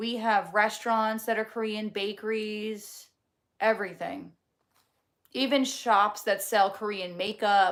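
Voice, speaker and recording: In a New Jersey accent, a woman with a fairly high pitch speaks at a fairly slow pace. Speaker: livestreamer. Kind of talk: casual chat reading live comments. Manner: animated.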